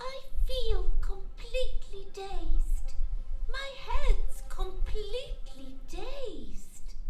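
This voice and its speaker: Putting on a character voice, a woman speaks very slowly at an extremely high pitch, with slight echo and loud background noise. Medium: stage play.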